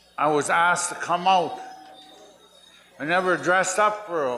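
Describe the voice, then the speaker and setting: Over noticeable background noise and audible room echo, a man speaks at a fairly slow pace in a high pitch with ordinary pitch variation. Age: 70s. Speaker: war veteran and elder. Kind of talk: speech at powwow.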